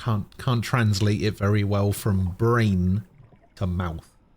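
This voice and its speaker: Very slowly, a man with a British accent talks in a somewhat breathy, fairly low voice. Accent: British accent, acquired. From Germany. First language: German. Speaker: game streamer. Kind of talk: casual chat.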